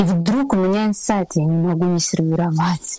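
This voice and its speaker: Calm and relaxed, a woman speaks at a moderate pace with a medium pitch and a dark, mellow tone. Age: 30s. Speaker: table-setting stylist. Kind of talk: interview. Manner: calm, relaxed.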